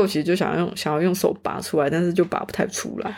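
Fairly low in pitch, a woman speaks at a fairly quick pace with fairly even intonation on a very clean recording with a silent background. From Taiwan. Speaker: student. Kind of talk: casual chat.

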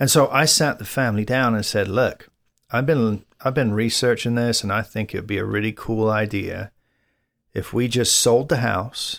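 Medium-pitched man with an English accent, fairly even intonation and a moderate pace, on a very clean recording with a silent background. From England. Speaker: podcast co-host. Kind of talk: casual chat.

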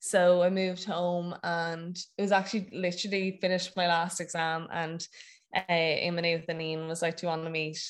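Fairly low in pitch, a woman with a Wexford Irish accent talks at a fairly quick pace with flat, monotone intonation. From Ireland, County Wexford. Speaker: CrossFit athlete and gym owner. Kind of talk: casual interview. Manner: hesitant, many fillers.

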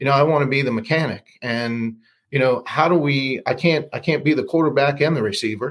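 A man speaks at a fairly quick pace in a normal speaking voice, his pitch fairly high and his intonation fairly even. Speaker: loan officer. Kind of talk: casual interview chat.

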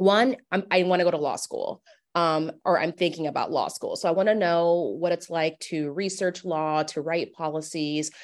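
At a moderate pace, a woman with an American accent and a fairly low pitch speaks in a plain, everyday voice. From US Midwest, Omaha, Nebraska. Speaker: professor. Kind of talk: interview.

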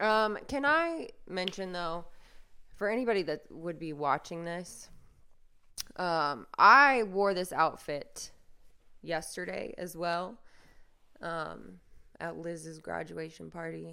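Raspy and fairly low-pitched, a woman speaks at a very slow pace with long, frequent pauses. Her tone is bright and sharp, with ordinary pitch variation and big swings in loudness. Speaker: podcaster. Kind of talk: casual solo monologue. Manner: rambling, self-deprecating.

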